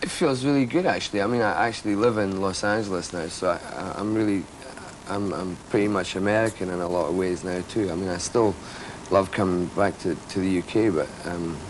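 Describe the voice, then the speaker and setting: With noticeable noise behind him, a man speaks fairly quickly in a fairly low pitch with ordinary pitch variation. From Britain (Scotland). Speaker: rock bassist. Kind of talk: interview. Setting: studio.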